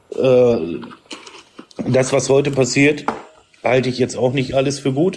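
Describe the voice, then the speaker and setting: A man talks at a moderate speed. Noticeable noise can be heard in the background. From Emsland, northern Germany. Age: 30s. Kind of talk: debate.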